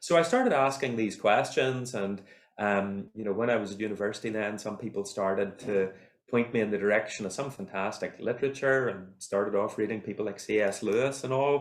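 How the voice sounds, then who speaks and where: Ordinary pitch variation at a fairly quick pace, with an Irish accent. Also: man, fairly low pitch for a man. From Northern Ireland, County Armagh. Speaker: university lecturer in computing and mathematics. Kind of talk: podcast interview. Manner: hesitant, many repetitions.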